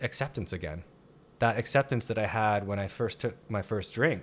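A man talks at a moderate pace with a fairly low pitch and ordinary pitch variation. The recording is very clean, with a silent background. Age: 40s. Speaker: public speaker on addiction and recovery. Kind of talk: interview, personal testimony. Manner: halting, many fillers and restarts.

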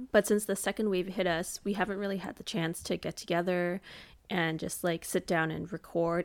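Fairly quick, fairly low-pitched speech from a woman with vocal fry and fairly even intonation, in a very clean recording with a silent background. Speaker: podcast co-host. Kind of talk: casual chat.

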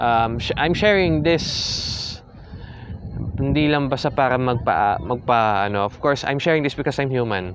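Over noticeable background noise, a man with a Filipino accent talks at a moderate pace and medium pitch, with ordinary pitch variation. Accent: Filipino English and Tagalog. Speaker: podcast host and idol fan. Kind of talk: solo unscripted rant and reflection, emotional, Taglish. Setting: recording alone at a hotel in Tagaytay. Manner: halting, searching for words, code-switching, emotionally subdued.

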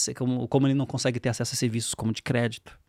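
The recording is very clean, with a silent background and a dry, close sound with no echo. A man speaks at a very fast pace in a medium pitch. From Brazil, São Paulo. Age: 40s. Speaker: fintech CEO. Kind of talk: interview. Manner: halting.

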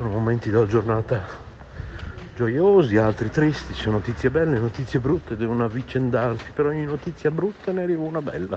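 With noticeable background noise, a man speaks at a medium pitch. His pace is fairly quick and his intonation lively. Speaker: radio host. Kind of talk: casual chat. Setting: voice message recorded on phone.

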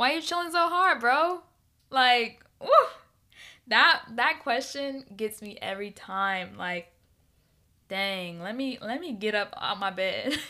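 In a very clean recording with a silent background, a woman with a high pitch and a bright, sharp tone speaks in an animated tone with very wide pitch swings and big swings in loudness. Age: 20s. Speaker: podcast host. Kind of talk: casual solo podcast monologue. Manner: fast talker; animated, laughs often.

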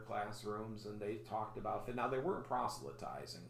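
A man with a Chicago accent, fairly low-pitched, with ordinary pitch variation, a moderate pace and noticeable background noise. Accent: Chicago-area American. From US Midwest, Chicago area. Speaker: pastor and podcast host. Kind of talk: casual interview.

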